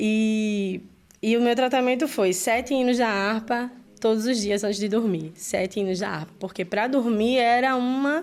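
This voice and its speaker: A woman speaks fairly slowly at a fairly high pitch with ordinary variation, in a very clean recording with a silent background. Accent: Brazilian. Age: 30s. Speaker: church worship leader. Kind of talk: testimony. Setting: studio.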